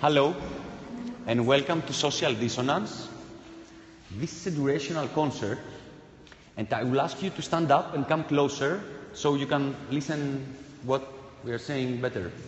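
Audible room echo surrounds a man with a fairly high pitch and ordinary pitch variation. He keeps a moderate pace broken by long, frequent pauses. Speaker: performance artist. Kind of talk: participatory live performance. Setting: live event with audience. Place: hall.

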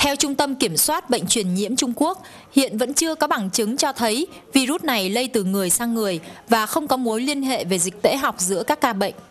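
A high-pitched woman with lively intonation at a fairly quick pace. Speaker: foreign correspondent. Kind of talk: news report.

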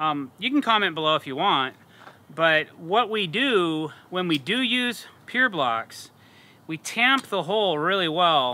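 A man talks with a high pitch. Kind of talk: tutorial. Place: garden. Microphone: lapel.

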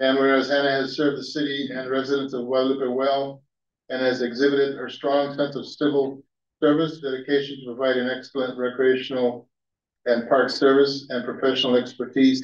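A man's fairly quick, monotone, flat delivery with audible room echo. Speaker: council member reading a proclamation. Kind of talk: formal proclamation reading. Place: hall. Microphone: podium.

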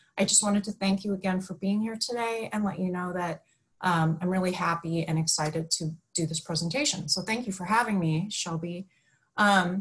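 A woman speaks at a fairly quick pace. Her voice is somewhat breathy, with fairly even intonation. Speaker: webinar presenter. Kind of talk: lecture. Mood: warm, friendly. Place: home room. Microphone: webcam.

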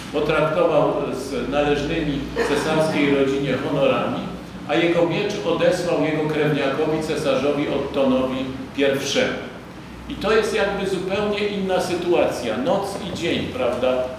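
A man talks at a fairly slow pace with ordinary pitch variation. Strong room echo and noticeable background noise fill the recording. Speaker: lecturer. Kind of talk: lecture. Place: hall. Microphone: podium.

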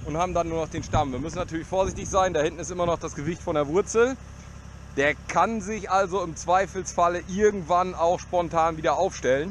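A man with a high voice speaks with fairly even intonation in a dry sound with no echo and light background noise. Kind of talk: casual vlog commentary. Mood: joking, relaxed. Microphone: helmet.

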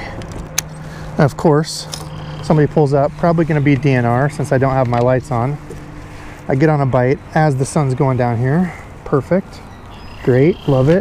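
The sound is dry with no echo, with light background noise and a moderate pace. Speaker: fishing vlogger. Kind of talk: casual vlog chat. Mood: excited, upbeat. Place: boat. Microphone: camera far.

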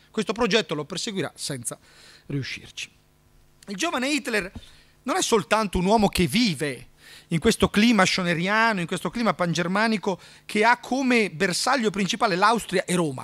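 The pace of this man's speech is moderate. Long pauses come often. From Italy, Trento; Italy. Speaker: history lecturer. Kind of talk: lecture. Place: hall. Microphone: studio mic.

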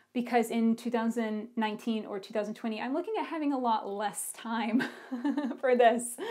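In an ordinary speaking voice, a woman talks at a moderate pace with fairly high pitch and fairly even intonation against a quiet background. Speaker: podcast host. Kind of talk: casual podcast talk. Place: home room. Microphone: lapel.

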